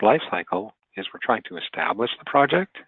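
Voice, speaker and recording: A man speaks with lively intonation. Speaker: webinar trainer. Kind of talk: webinar lecture. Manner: fast; halting.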